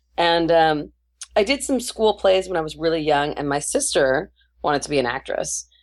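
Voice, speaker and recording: Here a woman speaks at a moderate pace. Her pitch variation is ordinary. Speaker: voice actress. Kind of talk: casual interview chat. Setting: Skype call.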